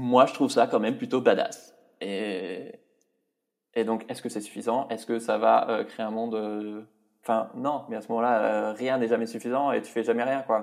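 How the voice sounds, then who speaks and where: The voice is a man's, pitched in the middle range. It stays flat and monotone throughout. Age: 30s. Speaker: podcaster and YouTuber, author. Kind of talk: interview conversation.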